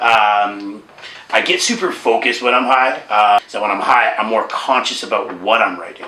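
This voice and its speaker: Against noticeable background noise and audible room echo, a man with a Canadian accent speaks at a moderate pace. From Toronto, Canada. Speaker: rapper. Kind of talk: casual interview.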